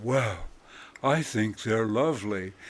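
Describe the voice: A man puts on a booming character voice at a medium pitch. His pitch moves with ordinary variation.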